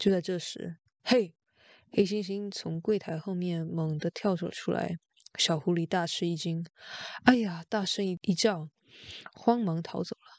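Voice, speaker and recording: A woman with a normal speaking voice talks at a fairly slow pace and a fairly low pitch, with ordinary pitch variation and big swings in loudness, in a dry, close sound with no echo against a quiet background. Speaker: bedtime story narrator reading in Mandarin. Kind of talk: bedtime story reading, Mandarin narration.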